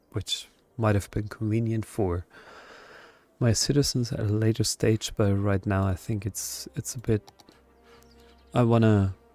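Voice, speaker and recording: Fairly slow, fairly even speech with long, frequent pauses, dry and close with no echo, music playing in the background. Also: man, fairly low pitch for a man. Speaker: let's play gamer. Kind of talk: casual gameplay commentary. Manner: hesitant, filler-heavy.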